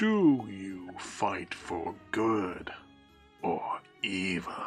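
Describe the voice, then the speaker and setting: In a put-on character voice, a man growls at a fairly low pitch and a very slow pace. Music is clearly heard in the background. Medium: actual play. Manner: solemn, questioning.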